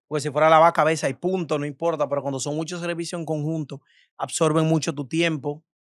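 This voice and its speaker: Over a quiet background, a man speaks quickly at a fairly high pitch with monotone, flat intonation, and the sound is dry with no echo. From Dominican Republic, Cibao region (Tenares, San Francisco de Macorís); Dominican Republic. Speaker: influencer and beauty salon owner; influencer. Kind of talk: casual interview. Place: studio. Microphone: studio mic.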